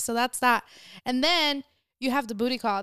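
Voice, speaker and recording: Speaking fairly quickly, a woman with a plain, everyday voice sounds dry and close with no echo. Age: 20s. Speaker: podcast guest. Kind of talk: casual chat.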